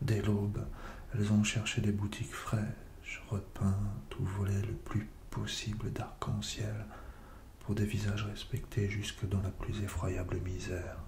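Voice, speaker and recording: A soft-spoken voice talks at a very slow pace in a monotone, flat intonation. Music plays in the background. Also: man, fairly low pitch for a man. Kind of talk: soft-spoken ASMR poetry reading. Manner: soft-spoken, slow.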